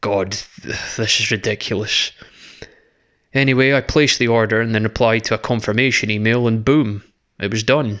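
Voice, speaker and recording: A man with a Scottish accent, medium in pitch, at a fairly quick pace with monotone, flat intonation against a quiet background. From Scotland. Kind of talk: horror story reading.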